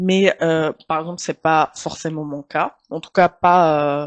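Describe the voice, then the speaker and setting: Very slowly and in a flat monotone, a woman with an Arabic accent speaks at a fairly low pitch, the sound dry and close with no echo. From Tunisia. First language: Arabic (speaking French). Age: 30s. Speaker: journalist. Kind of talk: casual interview.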